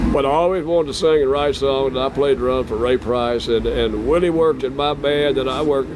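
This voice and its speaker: Noticeable background noise runs behind this man. His voice sits at a medium pitch. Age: 70s. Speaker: country singer-songwriter. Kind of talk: casual interview.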